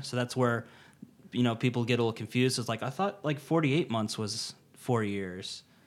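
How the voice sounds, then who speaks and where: A man with an American accent talks at a moderate pace and medium pitch in an ordinary speaking voice. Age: 30s. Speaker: YouTuber and student, Navy veteran. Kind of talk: casual chat.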